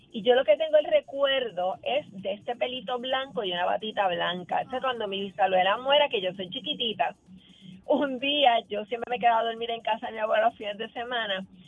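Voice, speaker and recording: A woman talks at a fairly quick pace with fairly high pitch. Music plays in the background. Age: 60s. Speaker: caller. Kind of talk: phone-in anecdote.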